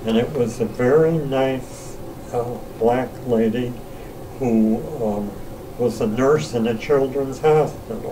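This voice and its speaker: Very slowly, a man with an American accent speaks at medium pitch, with audible room echo and noticeable background noise. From US Midwest, Cleveland, Ohio. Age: 80s+. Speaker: retired academic telling life stories. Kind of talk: interview storytelling. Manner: halting.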